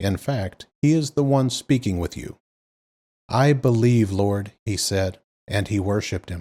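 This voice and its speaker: A man speaks in a calm tone at a fairly slow pace, fairly low-pitched with a dark, mellow tone and lively intonation. The recording is very clean with a silent background. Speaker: scripture reader. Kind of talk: reading aloud.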